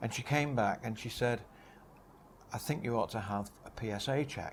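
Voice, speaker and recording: A man with a Manchester accent. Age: 70s. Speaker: cancer patient. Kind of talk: testimony.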